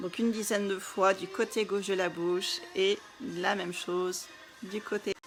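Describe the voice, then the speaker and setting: Music plays behind a woman speaking at a medium pitch. Her intonation is flat and monotone, and her pace is fairly slow. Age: 30s. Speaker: wellness coach. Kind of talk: live stream talk. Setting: live video stream.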